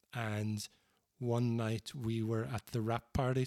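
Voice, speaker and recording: Medium-pitched, a man speaks with a Northern Irish accent. The sound is dry and close with no echo, very clean, and the background is silent. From Northern Ireland, Banbridge. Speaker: singer-songwriter and author. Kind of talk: casual interview conversation.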